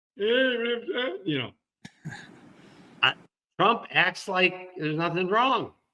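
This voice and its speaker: A man's raised, projected voice in an American accent, high in pitch, with lively intonation, a very slow pace and long, frequent pauses. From US Midwest, Detroit. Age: 70s. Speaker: cancer survivor and comedy writer. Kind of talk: interview conversation.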